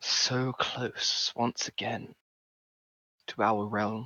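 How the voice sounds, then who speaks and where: Using a put-on character voice, a man speaks at a medium pitch and a very slow pace with monotone, flat intonation. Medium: actual play. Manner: solemn, otherworldly.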